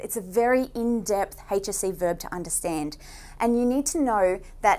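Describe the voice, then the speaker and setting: A woman talks with lively intonation. Her pace is moderate. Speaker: online tutor. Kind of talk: lecture. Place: studio.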